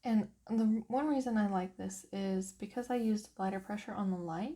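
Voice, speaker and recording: Speaking at a moderate pace, a woman uses a medium-pitched, somewhat breathy voice with a dark, mellow tone and ordinary pitch variation. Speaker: coloring hobbyist. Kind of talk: craft tutorial talk.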